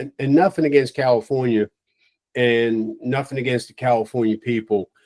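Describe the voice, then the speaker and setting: This is a man with a normal speaking voice and an American accent, at medium pitch and a moderate pace. His intonation is fairly even, and the sound is dry and close with no echo. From Long Island, New York. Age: 60s. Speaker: retired fire chief. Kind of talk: casual interview.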